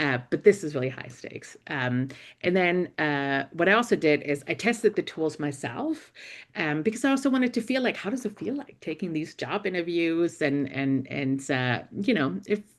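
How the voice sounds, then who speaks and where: In a German accent, a woman speaks at a moderate pace with a fairly low pitch and very wide pitch swings over a quiet background. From Germany. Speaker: investigative reporter and journalism professor. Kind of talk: panel talk. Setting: university panel event. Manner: hesitant, many fillers.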